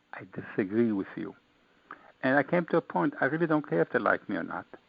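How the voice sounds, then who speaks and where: Vocal fry runs through a man's fairly high voice as he speaks very fast with an American accent, very wide pitch swings and big swings in loudness. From Israel, Austria, then Brooklyn, New York. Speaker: author. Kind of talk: interview. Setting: online radio show. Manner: animated.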